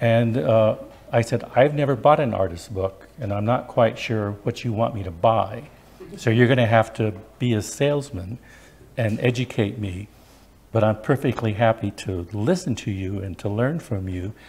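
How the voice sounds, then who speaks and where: A man talks at a moderate pace and a medium pitch, with ordinary pitch variation. His voice is somewhat breathy. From Wyoming and northern New Mexico. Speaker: librarian and special collections director. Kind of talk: lecture. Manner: soft-spoken.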